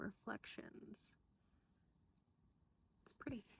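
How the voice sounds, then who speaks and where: A woman is soft-spoken. Her voice has a dark, mellow tone. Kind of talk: ASMR show-and-tell, soft-spoken rambling to camera. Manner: soft-spoken, rambling, casual.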